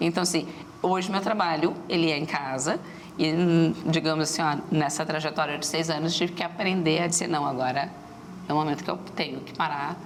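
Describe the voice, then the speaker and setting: A woman speaks at a fairly quick pace with a very deep, low pitch and fairly even intonation. Room echo is audible, and background noise is noticeable. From Rio Grande do Sul, Brazil (Rio Grande). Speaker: entrepreneur, startup association executive. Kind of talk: TV interview. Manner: fast.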